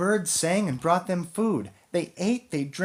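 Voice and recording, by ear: Someone reads the text aloud. The voice is natural, with ordinary pitch movement.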